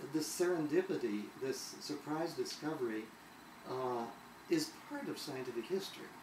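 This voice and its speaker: A man talks with lively intonation. Noticeable background noise and audible room echo are present. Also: fairly high pitch for a man, moderate pace. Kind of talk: conversational interview. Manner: halting, many fillers and repetitions.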